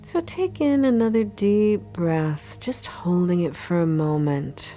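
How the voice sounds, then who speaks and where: A woman's calm, soothing tone at a very slow pace, with music in the background. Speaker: meditation guide. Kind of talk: guided meditation. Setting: studio recording with background music. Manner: slow, calm, soothing.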